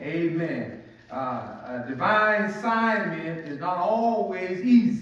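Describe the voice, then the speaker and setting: A man's high-pitched voice in strong room echo. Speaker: pastor. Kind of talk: sermon. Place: church.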